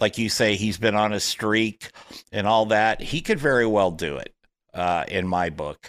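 In a very clean recording with a silent background, a man speaks at a fairly slow pace with a fairly low pitch, ordinary pitch variation and an ordinary speaking voice. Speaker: golf radio host. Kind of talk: casual interview.

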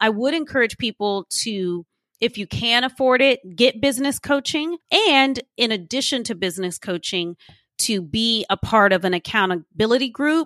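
Recorded dry and close with no echo, a woman with an American accent talks at a moderate pace in a normal speaking voice with lively intonation. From Austin, Texas. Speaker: entrepreneur, admissions consultant. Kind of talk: interview.

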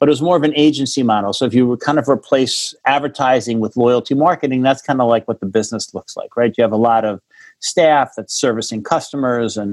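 A man with an American accent and an ordinary speaking voice, medium in pitch, at a fairly quick pace with hardly any pauses and ordinary pitch variation. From New York, Rockland County. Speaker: cannabis tech entrepreneur. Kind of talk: interview.

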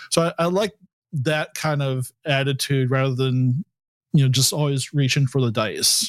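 A plain, everyday voice, moderately paced, with ordinary pitch variation in a dry, close recording free of echo. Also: man, fairly high pitch for a man. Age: 50s. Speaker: podcast host, game master. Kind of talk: casual chat. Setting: video call.

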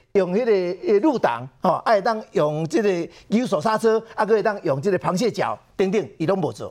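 With hardly any pauses, a man talks at a high pitch with lively intonation. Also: moderate pace. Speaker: political commentator. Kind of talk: political talk show commentary.

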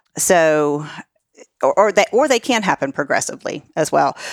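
At a moderate pace, a woman talks in a plain, everyday voice with a fairly low pitch. The sound is dry and close with no echo. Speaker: life coach. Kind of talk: casual interview chat.

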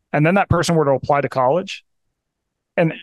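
Against a quiet background, a man with a fairly high pitch and ordinary pitch variation uses a normal speaking voice, the sound dry and close with no echo. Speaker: author and health journalist. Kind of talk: casual interview chat.

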